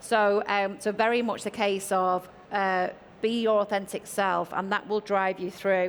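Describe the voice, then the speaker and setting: In a northern English accent, a woman speaks at a medium pitch with monotone, flat intonation. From northern England. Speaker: tech executive panelist. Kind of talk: panel discussion.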